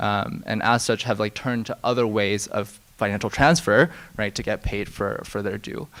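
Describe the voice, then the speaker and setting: With an American accent, a man has an unremarkable speaking voice, fairly low pitch, ordinary pitch variation, and a moderate pace. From US, Silicon Valley. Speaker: fintech executive, panelist. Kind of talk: conference panel discussion.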